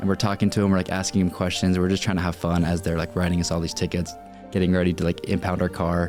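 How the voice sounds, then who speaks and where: A man with an American accent speaks at a very fast pace in a very deep, low pitch. His intonation is monotone and flat, his loudness very even, with music in the background. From Utah. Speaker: social media content creator. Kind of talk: podcast interview answer. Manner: casual, conversational.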